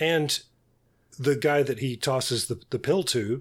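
Background silence and a very clean recording frame the voice. It comes across as somewhat breathy. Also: man. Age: 60s. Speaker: podcast co-host. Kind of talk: casual chat. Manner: halting.

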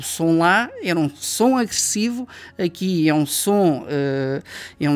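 Very wide pitch swings run through the speech of a man. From Portugal, Coimbra. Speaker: sound engineer, studio owner. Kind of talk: interview conversation. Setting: recording studio. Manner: hesitant, many fillers.

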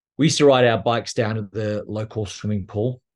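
The speaker has an Australian accent. Pitch variation is ordinary. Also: man. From Australia, near Canberra. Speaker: abuse survivor and advocate. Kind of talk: personal testimony interview.

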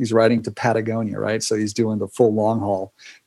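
Dark and mellow in tone, a man speaks with an American accent. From California. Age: 50s. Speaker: cyclist and bike touring host. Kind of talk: casual interview.

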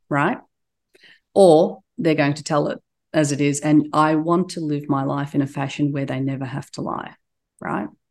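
Speaking with an Australian accent, a woman with a very deep, low pitch talks at a moderate pace with ordinary pitch variation, big swings in loudness and long, frequent pauses over a quiet background. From Turkey, raised in Australia. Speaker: business executive. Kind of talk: interview.

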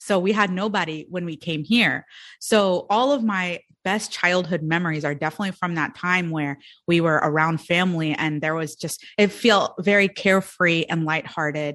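This woman has an ordinary speaking voice, fairly low in pitch, with ordinary pitch variation. She talks at a moderate pace against a quiet background. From India and Sudan, immigrated to US as child. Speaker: entrepreneur and business coach. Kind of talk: podcast interview.

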